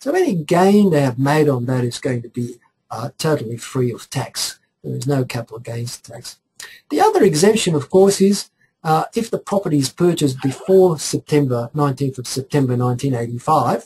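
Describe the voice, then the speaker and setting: A dark, mellow, somewhat breathy tone at a moderate pace. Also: man. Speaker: tax accountant. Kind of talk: webinar presentation. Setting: online webinar. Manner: hesitant, many fillers.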